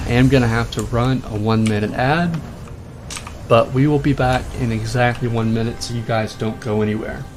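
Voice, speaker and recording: A man's fairly even intonation amid audible room echo and noticeable background noise. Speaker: gaming streamer. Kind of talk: live game commentary. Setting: live stream. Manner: fast.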